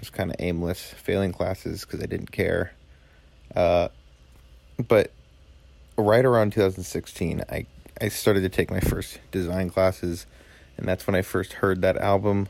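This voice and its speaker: A man with a fairly low pitch talks at a moderate pace in fairly even intonation, with long, frequent pauses. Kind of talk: recorded voice memo.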